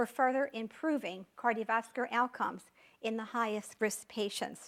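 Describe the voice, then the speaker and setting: A woman with an American accent talks at a high pitch with ordinary pitch variation. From New York area. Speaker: physician lecturer. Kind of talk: lecture. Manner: fast.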